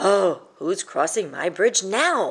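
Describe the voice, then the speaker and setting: Using a put-on character voice, a woman sounds raspy and rumbling at a medium pitch. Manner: grumbling, annoyed.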